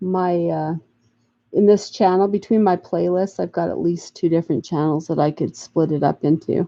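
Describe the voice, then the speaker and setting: Speaking at a moderate pace, a woman with a fairly low pitch shows ordinary pitch variation. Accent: American. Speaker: crafting YouTuber. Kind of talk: casual livestream chat. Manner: halting.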